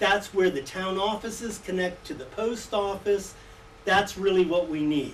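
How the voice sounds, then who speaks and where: An American accent at a fairly slow pace, with noticeable background noise. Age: 70s. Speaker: resident speaking at public hearing. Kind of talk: public comment at a hearing.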